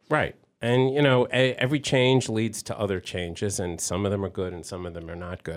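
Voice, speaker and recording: This man has an ordinary speaking voice, with ordinary pitch variation and a fairly quick pace. The recording is very clean, with a silent background. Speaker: baseball historian. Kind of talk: radio interview. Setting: radio studio.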